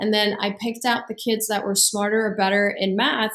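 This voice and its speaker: A woman speaks in a Persian accent at a medium pitch. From Iran. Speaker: business coach and entrepreneur. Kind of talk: interview.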